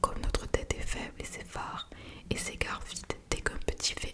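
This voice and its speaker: Against noticeable background noise, a woman whispers at a moderate speed. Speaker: ASMR creator. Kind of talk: ASMR whispered book reading. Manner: whispered.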